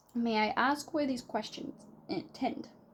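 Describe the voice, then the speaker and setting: A woman puts on a strained character voice, high-pitched and fairly slow, with ordinary pitch variation. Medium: read story. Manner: constrained, haughty.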